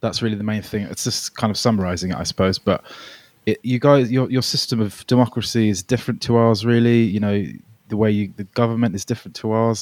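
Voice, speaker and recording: Very fast and with fairly even intonation, a man at medium pitch talks in a southern English accent, the recording very clean with a silent background and a dry, close sound with no echo. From England, raised near London from age nine (born Melbourne). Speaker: singer-songwriter. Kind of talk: casual chat. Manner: halting.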